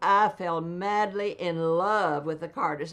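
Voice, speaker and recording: The speaker is a woman with a Southern Appalachian accent. She talks at a fairly slow pace. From East Tennessee, Appalachia. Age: 80s+. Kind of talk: interview answer.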